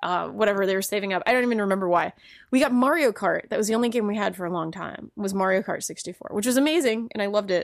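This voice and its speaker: A woman's medium-pitched voice at a very fast pace, with ordinary pitch variation, in a very clean recording with a silent background. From Rhode Island, New England. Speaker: game journalist. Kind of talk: casual chat. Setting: studio. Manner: laughs often.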